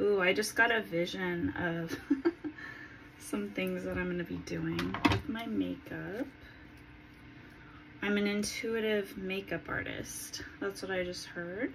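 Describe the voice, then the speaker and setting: A woman speaks at a fairly slow pace with long, frequent pauses. Light background noise can be heard. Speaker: spiritual vlogger. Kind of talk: casual vlog chat. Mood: calm, dreamy. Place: home room. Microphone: phone near.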